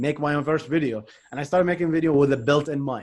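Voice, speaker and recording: A man with a non-native accent talks at a very fast pace. His pitch is fairly high. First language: not English. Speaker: software engineer and tech YouTuber. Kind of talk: interview conversation.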